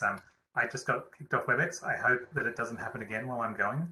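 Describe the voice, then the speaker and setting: Very fast pace from a man with an Australian accent, medium pitch and ordinary pitch variation. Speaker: meeting facilitator. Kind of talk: online meeting presentation. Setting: video call.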